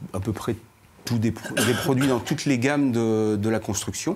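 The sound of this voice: Here a man talks at a moderate pace and a medium pitch, with ordinary pitch variation and a slightly mellow tone.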